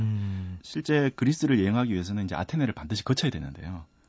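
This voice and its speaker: A man talks very fast in a fairly low, somewhat breathy voice. His intonation is lively. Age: 30s. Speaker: cultural heritage researcher and author. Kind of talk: radio interview.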